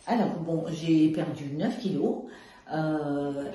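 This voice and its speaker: Amid noticeable background noise and audible room echo, a woman speaks with a very deep, low pitch. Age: 70s. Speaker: weight-loss program client. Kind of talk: testimony. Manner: hesitant, many fillers.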